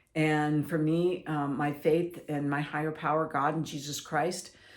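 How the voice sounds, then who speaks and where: A woman's voice with audible room echo. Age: 60s. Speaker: mental health speaker. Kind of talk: personal testimony. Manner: halting.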